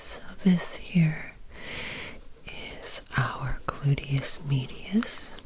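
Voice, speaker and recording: A very slow whisper broken by long, frequent pauses, noticeable noise in the background. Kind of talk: educational anatomy ASMR discussion. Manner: soft-spoken, whispered.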